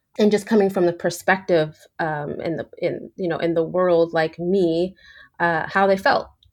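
With an ordinary speaking voice, a woman talks at a moderate pace and with fairly even intonation. The background is quiet. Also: fairly low pitch for a woman. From New York. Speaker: photographer running a documentary project. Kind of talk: interview conversation.

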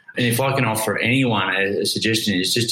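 Speaking in an Australian accent at medium pitch, a man moves at a fairly quick pace with ordinary pitch variation over noticeable background noise. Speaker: motivational coach and business owner. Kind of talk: interview.

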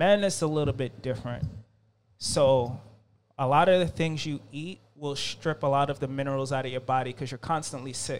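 On a very clean recording with a silent background, a man with an ordinary speaking voice talks at a fairly quick pace, his pitch fairly high and his intonation fairly even. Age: 30s. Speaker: herbalist and spiritual guide. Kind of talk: casual chat.

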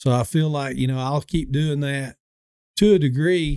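With a Southern US accent, a man speaks at a moderate pace in a fairly high pitch and a dark, mellow tone, his pitch varying ordinarily, the sound dry and close with no echo. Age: 50s. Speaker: dentist. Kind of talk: casual chat. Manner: halting.

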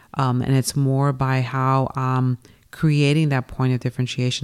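Very deep and low in pitch, a woman speaks at a moderate pace in an American accent with monotone, flat intonation. The sound is dry and close with no echo, on a very clean recording with a silent background. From New York and Pasadena, California. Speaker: sports apparel business owner. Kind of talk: interview.

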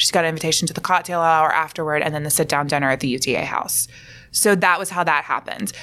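Her pitch sits fairly low for a woman. Her intonation stays fairly even. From Alabama. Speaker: actor and acting coach. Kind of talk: casual interview.

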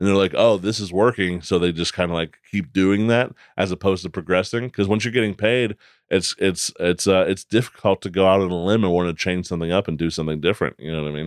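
Very fast speech from a man with an American accent, very deep and low in pitch, with fairly even intonation, a dry, close sound with no echo, and a very clean recording with a silent background. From Pennsylvania (Altoona, then Pittsburgh). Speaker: comedian and comedy promoter. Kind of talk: casual chat.

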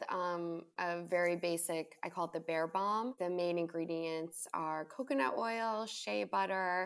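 A woman talks in an American accent with a fairly low pitch. Her pace is very slow. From Long Island, New York. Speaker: skincare company founder. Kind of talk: interview.

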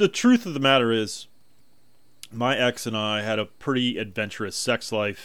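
A man speaks with ordinary pitch variation. The recording is very clean, the background silent. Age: 40s. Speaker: podcast host. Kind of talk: solo podcast monologue. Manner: halting, with ums and ahs; casual, makes a little tsk sound.

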